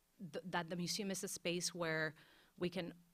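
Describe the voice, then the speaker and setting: A woman's fairly low voice in a Spanish accent, monotone and flat, at a moderate pace, in a very clean recording with a silent background. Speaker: museum curator. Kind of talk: panel discussion. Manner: halting, many fillers and restarts.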